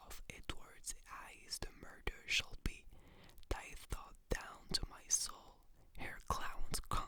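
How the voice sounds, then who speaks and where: A woman whispers. She goes at a very slow pace. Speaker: ASMR creator. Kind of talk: whispered ASMR reading of a play. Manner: whispered, soft, slow.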